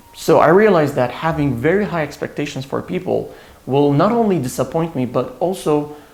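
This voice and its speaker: With a non-native accent, a man talks at a fairly high pitch and a moderate pace. His pitch varies in an ordinary way, and noticeable background noise is present. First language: not English. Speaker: self-help YouTuber. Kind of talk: casual vlog talk to camera. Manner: casual, with fillers and repetitions.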